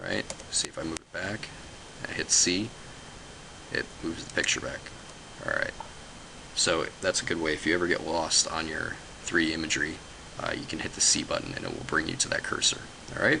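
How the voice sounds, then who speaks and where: Amid noticeable background noise, a man talks fairly quickly with long, frequent pauses and big swings in loudness. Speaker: software tutorial maker. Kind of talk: tutorial. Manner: fast; halting, many fillers.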